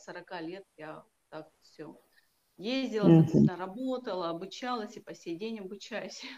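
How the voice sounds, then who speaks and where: A woman speaks in an ordinary speaking voice at a fairly slow pace, medium in pitch with ordinary pitch variation and big swings in loudness. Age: 40s. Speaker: healer and coach. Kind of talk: casual interview.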